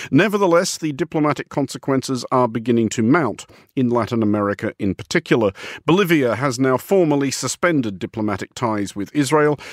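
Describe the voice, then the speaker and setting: A man's medium-pitched voice, a normal speaking voice with lively intonation, in a very clean recording against a silent background. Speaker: radio host. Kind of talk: news discussion show. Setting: studio.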